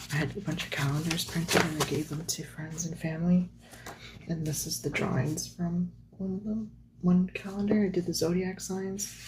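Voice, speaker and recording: A woman with a fairly low pitch talks at a moderate pace, her intonation fairly even, while noticeable background noise plays behind her. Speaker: artist. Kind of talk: casual talk to camera while flipping through sketchbooks. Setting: lo-fi home recording with page-turning sounds. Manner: soft-spoken.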